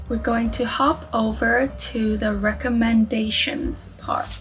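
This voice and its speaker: With music in the background, a speaker with a non-native accent talks at a very slow pace. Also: woman. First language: not English. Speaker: book YouTuber. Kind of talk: casual talk to camera.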